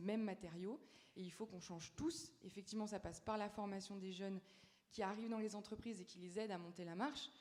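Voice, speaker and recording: Speaking very fast, a woman uses a medium pitch with ordinary pitch variation. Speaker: youth panelist. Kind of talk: panel discussion. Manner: halting.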